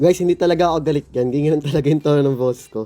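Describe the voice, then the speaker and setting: This man speaks at a very fast pace with a fairly high pitch. His tone is dark and mellow. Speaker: gaming streamer. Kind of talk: gameplay reaction commentary. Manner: sounds irritated by tone.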